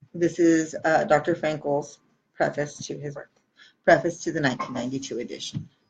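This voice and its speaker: The speaker talks at a fairly quick pace in a somewhat breathy voice, with fairly even intonation and big swings in loudness. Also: woman, very deep, low pitch for a woman. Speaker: audiobook reader. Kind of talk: reading aloud. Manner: occasional mispronunciations.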